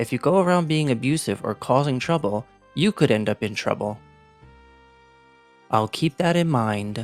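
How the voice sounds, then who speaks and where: Lively intonation in an American accent, at a moderate pace, with music in the background. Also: man. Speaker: English teacher. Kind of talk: reading game character dialogue aloud.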